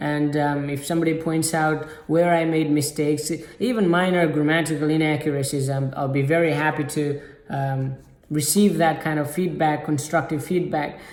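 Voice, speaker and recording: With a non-native accent, a man speaks at a moderate pace in a fairly high pitch and monotone, flat intonation, with audible room echo. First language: not English. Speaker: self-improvement YouTuber. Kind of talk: motivational talk to camera. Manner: halting, many fillers.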